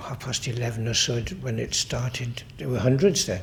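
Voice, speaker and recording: There is music in the background as a man speaks with a Welsh accent. His pace is moderate. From Carmarthenshire, Wales. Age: 90s. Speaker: oral history interviewee. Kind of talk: oral history interview.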